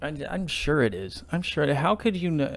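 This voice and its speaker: The recording is very clean, with a silent background. A man uses a normal speaking voice at a moderate pace, with ordinary pitch variation. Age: 20s. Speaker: podcast host. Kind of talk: casual solo monologue.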